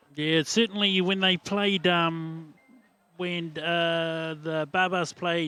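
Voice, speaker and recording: In a New Zealand accent, a man speaks at a fairly high pitch with fairly even intonation and a bright, sharp tone. The sound is dry and close with no echo, in a very clean recording with a silent background. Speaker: sports commentator. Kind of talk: live sports commentary. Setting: commentary box. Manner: halting, many fillers.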